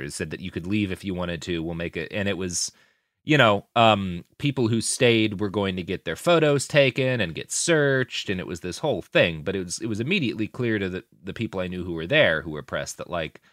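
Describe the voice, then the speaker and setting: In an ordinary speaking voice, a man talks at a fairly quick pace with hardly any pauses, fairly low in pitch and lively in intonation, on a very clean, dry, close recording with a silent background and no echo. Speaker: podcast co-host. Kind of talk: casual chat.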